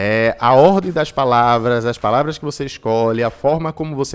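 A man in a normal speaking voice, moderate in pace, with ordinary pitch variation. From Recife, Brazil. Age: 20s. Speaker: entrepreneurship and innovation specialist. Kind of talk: interview.

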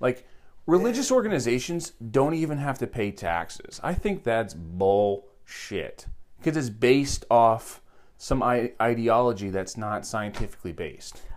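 This man has a normal speaking voice, pitched in the medium range. He talks at a fairly slow pace with lively intonation. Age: 30s. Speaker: podcast host. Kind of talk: casual chat. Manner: joking, talkative.

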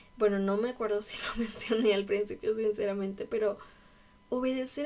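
Fairly high female voice, intonation fairly even. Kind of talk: devotional talk. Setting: at home in her bedroom. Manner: casual.

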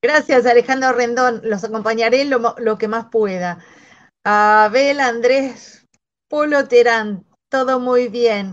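Speaking at a very slow pace, a woman keeps her high-pitched voice at a fairly even intonation. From Argentina. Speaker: shoe designer, design movement member. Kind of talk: casual chat.

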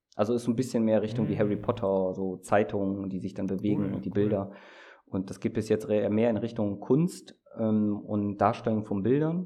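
At a fairly quick pace, a man speaks in a fairly low, dark, mellow voice with ordinary pitch variation. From Germany, small spa town. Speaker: researcher. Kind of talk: casual chat.

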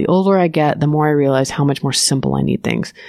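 A woman speaks with a very deep, low pitch. Noticeable background noise runs underneath. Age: 40s. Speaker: communications director. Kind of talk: interview.

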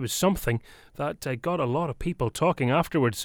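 A man with a Northern Irish accent speaks at a fairly quick pace, his pitch swinging very widely. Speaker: radio host. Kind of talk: radio show recap with clips.

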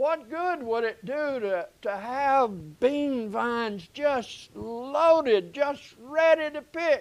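A man with a Southern US accent speaks at a very slow pace in an extremely high pitch, his intonation lively and his speech hardly broken by pauses, on a very clean recording with a silent background. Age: 70s. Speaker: pastor. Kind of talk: sermon. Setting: church.

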